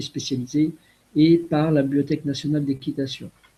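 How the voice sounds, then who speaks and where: A man's fairly high, somewhat breathy voice with a dark, mellow tone at a fairly slow pace. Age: 60s. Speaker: retired riding master. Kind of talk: web conference talk. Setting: video call.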